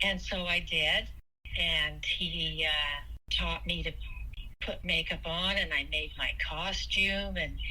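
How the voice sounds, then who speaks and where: Very slow speech from a woman, noticeable background noise around it. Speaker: dancer, actor and clown. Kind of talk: interview answer. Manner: hesitant, with fillers.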